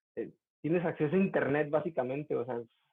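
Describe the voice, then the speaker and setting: This man's pitch is fairly high. He speaks very fast. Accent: Mexican. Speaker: university student. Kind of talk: casual chat. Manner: animated.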